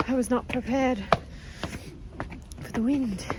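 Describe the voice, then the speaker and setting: With a Canadian accent, a woman is talking. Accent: Canadian, noticed by locals. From Canada. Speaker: travel vlogger. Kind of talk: travel vlog, casual talk to camera. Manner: animated.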